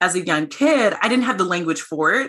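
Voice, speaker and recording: Lively intonation marks this speaker with an American accent, heard over noticeable background noise. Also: woman. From US, small town. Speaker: CEO of diversity technology company. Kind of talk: interview conversation. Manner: animated.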